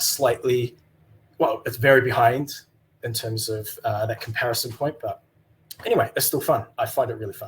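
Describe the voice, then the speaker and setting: A man with a New Zealand accent speaks at a moderate pace in a medium pitch, his intonation flat and monotone. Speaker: email developer. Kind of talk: conference talk. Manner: halting, many fillers.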